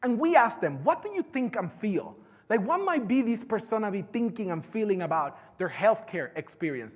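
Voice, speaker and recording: With a strong Puerto Rican accent, a man speaks at a high pitch with very wide pitch swings. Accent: heavy Puerto Rican Spanish. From Puerto Rico. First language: Spanish. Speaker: conference speaker. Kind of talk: keynote talk.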